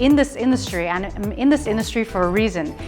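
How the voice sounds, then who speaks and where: A woman talks with lively intonation. Music plays in the background. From Hong Kong, raised in small-town USA. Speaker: TV presenter and MC. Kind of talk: interview answer.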